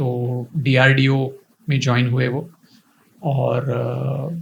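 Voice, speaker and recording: Somewhat breathy, the man's voice sits fairly high in pitch. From India, Pune. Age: 50s. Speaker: coaching institute founder. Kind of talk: interview.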